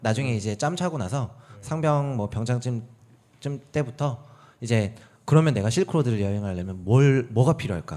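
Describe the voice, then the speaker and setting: A man talks with lively intonation at a moderate pace. His is an ordinary speaking voice. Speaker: podcast guest with a varied career. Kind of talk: casual chat, interview. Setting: studio, meeting room.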